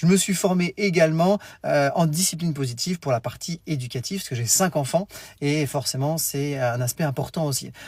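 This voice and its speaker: A man speaks at a fairly quick pace in a fairly high pitch, with a somewhat breathy quality and ordinary pitch variation. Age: 40s. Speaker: teacher trainer and education coach. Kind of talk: live stream talk to parents. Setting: live stream. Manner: fast.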